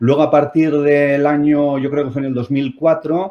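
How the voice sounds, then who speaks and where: A man's fairly high pitch carries through speech at a moderate pace. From Spain, Basque Country (Bilbao). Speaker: company CEO, physicist. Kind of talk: talk to online audience. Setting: video conference platform. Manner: hesitant, many fillers.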